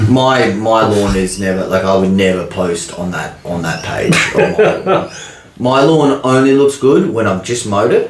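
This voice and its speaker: With an Australian accent, a man at a medium pitch speaks at a moderate pace with lively intonation, with audible room echo and music in the background. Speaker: podcast co-host. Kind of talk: casual chat. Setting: studio.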